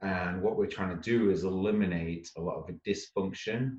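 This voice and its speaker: With a northern English accent, a man sounds somewhat breathy. He goes at a fairly quick pace with ordinary pitch variation. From northwest England. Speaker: startup founder. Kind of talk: interview. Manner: fast.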